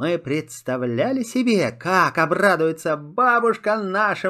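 This is plain reading aloud. The intonation is lively.

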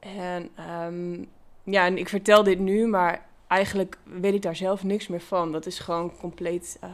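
On a very clean recording with a silent background, a woman at medium pitch speaks at a fairly slow pace with monotone, flat intonation. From Netherlands, Achterhoek (Gaanderen). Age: 30s. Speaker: brain injury survivor. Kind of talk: interview. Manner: halting.

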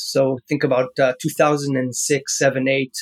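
A man's fairly high-pitched voice in an Israeli accent, with monotone, flat intonation and a dry, close sound with no echo. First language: Hebrew. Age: 40s. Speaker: founder and business angel. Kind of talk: interview.

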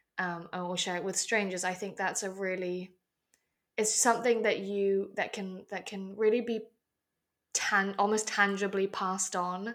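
Speaking in an English accent, a woman uses a medium pitch and monotone, flat intonation at a moderate pace, in a very clean recording with a silent background. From Hong Kong. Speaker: podcast co-host. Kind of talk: casual discussion.

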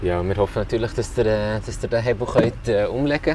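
At a moderate pace, a man with a Swiss German accent speaks with ordinary pitch variation. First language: Swiss German (speaking German). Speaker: football club podcast host. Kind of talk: casual interview. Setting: clubhouse container.

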